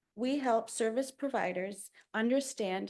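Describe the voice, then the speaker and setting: On a very clean recording with a silent background, a woman talks fairly slowly at a fairly high pitch with vocal fry and ordinary pitch variation. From Ontario, Canada. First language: Bengali. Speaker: immigration partnership manager. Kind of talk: formal presentation. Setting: council chamber podium. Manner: formal.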